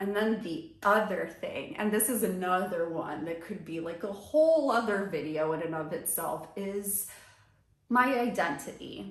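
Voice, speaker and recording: Using an ordinary speaking voice with lively intonation, this speaker talks at a fairly slow pace in an American accent. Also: woman, medium pitch for a woman. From US suburbs, Brazilian family. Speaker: lifestyle vlogger. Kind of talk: personal vlog monologue. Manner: casual, conversational.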